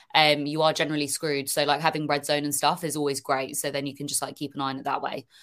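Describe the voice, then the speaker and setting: A woman speaks very fast in a British accent, her pitch very deep and low with monotone, flat intonation. The recording is very clean, with a silent background. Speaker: football social media creator. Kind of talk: casual chat.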